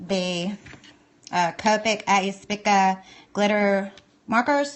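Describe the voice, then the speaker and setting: The speaker is a woman. She talks with a Southern US accent. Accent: Southern US, country. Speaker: art supply reviewer. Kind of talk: live stream tutorial. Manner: casual, chatty.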